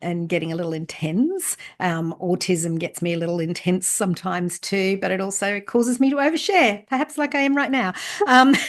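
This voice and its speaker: A woman talks at a fairly quick pace in a medium pitch, her voice making very wide pitch swings. Noticeable background noise is present. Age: 60s. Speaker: leadership and book coach. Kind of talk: interview, personal story. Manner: hesitant, many fillers.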